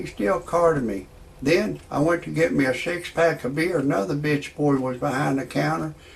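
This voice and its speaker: Noticeable background noise surrounds a man speaking at a moderate pace. His pitch is fairly high, with ordinary variation. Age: 60s. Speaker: comedian. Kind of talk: stand-up.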